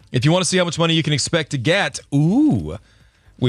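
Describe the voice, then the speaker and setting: Lively intonation from a man in a normal speaking voice. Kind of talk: radio DJ patter. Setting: radio studio. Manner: upbeat, quick, bantering morning-show host.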